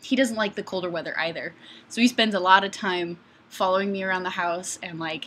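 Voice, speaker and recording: With an Upper Midwest accent, a woman speaks at a fairly quick pace in a medium pitch, her tone bright and sharp and her intonation fairly even. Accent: Upper Midwest American. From Wisconsin. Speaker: YouTuber on guns and fitness. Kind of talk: live stream chat. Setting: webcam live stream at home. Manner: rambling, casual.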